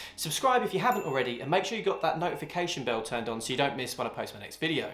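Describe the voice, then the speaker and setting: A man with a British accent talks at a very fast pace in a fairly high voice, his pitch swinging very widely. Noticeable background noise and audible room echo fill the recording. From UK. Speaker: YouTuber, funded forex trader. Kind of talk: talking-head explainer video.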